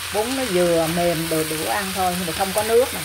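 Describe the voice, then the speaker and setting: Fairly quick speech over loud background noise. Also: woman. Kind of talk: cooking tutorial. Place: kitchen. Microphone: phone near.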